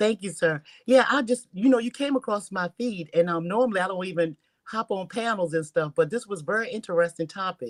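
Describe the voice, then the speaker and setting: A woman speaks at a fairly quick pace with lively intonation and a medium pitch. It's an ordinary speaking voice, with a dry, close sound and no echo. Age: 60s. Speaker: panel guest. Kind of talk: live panel discussion.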